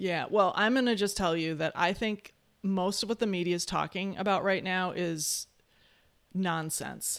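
A woman talks with fairly even intonation in an Upper Midwest accent. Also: medium pitch for a woman, moderate pace. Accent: Upper Midwest American. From Wisconsin. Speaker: futurist and economist. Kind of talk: interview. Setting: video call.

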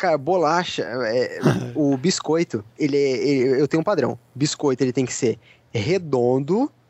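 In a plain, everyday voice, a man talks at a fairly slow pace with very even loudness, a fairly high pitch and ordinary pitch variation. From São Paulo, Brazil. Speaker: podcast co-host. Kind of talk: casual chat.

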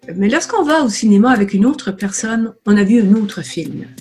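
Over noticeable background noise, a woman talks at a moderate pace with lively intonation and a medium pitch. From Acadian New Brunswick, Canada. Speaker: marketing consultant. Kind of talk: interview.

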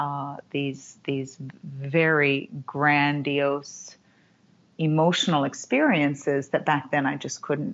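A woman's very deep, low pitch with monotone, flat intonation at a very slow pace. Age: 40s. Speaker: women's empowerment facilitator. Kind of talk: interview conversation. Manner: halting.

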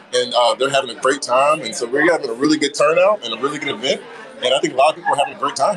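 A man speaks at a very fast pace. Noticeable background noise runs behind him. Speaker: diversity council member. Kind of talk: casual interview. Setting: outdoors at live event.

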